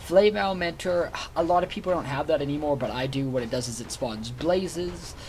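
Speaking at a moderate pace, a man shows ordinary pitch variation over light background noise. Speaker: gamer. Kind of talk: gameplay commentary.

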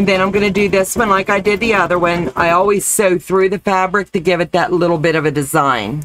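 A woman speaks at a fairly quick pace with hardly any pauses, very even loudness and ordinary pitch variation, in a dry sound with no echo and light background noise. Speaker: crafts demonstrator. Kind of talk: live-stream crafting tutorial. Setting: live stream. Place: home room.

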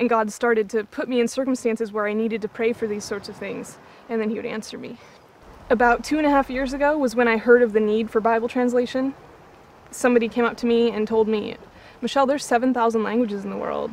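A woman speaks at a very fast pace in a monotone, flat intonation. The sound is dry with no echo, over light background noise. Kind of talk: interview answer. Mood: earnest, heartfelt. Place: waterside. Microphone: lapel.

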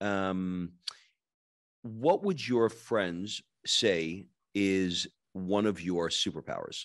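A man with an American accent, fairly low pitch and lively intonation over a quiet background. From New York. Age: 50s. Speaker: podcast host. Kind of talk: interview. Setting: video call. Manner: animated. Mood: warm, complimentary. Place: home room. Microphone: studio mic.

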